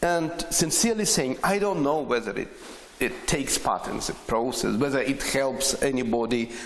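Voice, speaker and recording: The intonation is lively, with noticeable background noise behind it. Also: man, fairly high pitch for a man, moderate pace. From Ukraine, Chernivtsi. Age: 60s. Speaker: poet and radio broadcaster. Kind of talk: interview. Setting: on location at a poetry festival. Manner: halting.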